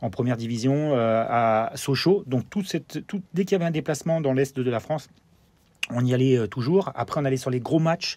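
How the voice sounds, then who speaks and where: A man talks at a fairly quick pace and medium pitch. His tone is dark and mellow, with ordinary pitch variation. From Germany (Freiburg, French army garrison). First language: German (speaking French). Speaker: former pro footballer, TV football pundit. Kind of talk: interview. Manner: halting, many fillers and repetitions.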